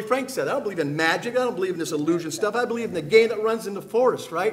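Light background noise runs under a man's speech. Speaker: panelist. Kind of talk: impassioned panel talk. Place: hall. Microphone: podium.

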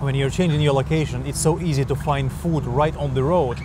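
The speech moves at a fairly quick pace, with a dry sound free of echo and noticeable background noise. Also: man. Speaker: travel food vlogger. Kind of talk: casual vlog chat. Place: street. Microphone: lapel.

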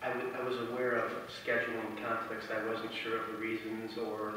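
A man speaks in a room with strong echo. Light background noise is present. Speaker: council member. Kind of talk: formal meeting motion. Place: hall. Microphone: pa.

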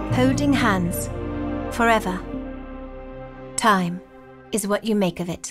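A woman speaks with a British accent at a fairly slow pace, leaving long, frequent pauses. Music plays in the background. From Britain. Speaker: voice actress. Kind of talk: TV commercial read.

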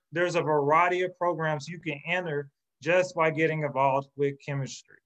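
A man with an American accent speaks in a normal speaking voice at a fairly high pitch. His pitch variation is ordinary, over a quiet background. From Oklahoma City, US; Oklahoma. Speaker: chemistry professor. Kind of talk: presentation. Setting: virtual webinar. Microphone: video call.

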